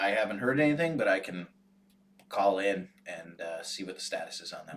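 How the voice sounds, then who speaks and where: In a put-on character voice, a man speaks raspy and fairly low at a fairly quick pace. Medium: actual play. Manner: polite, hesitant.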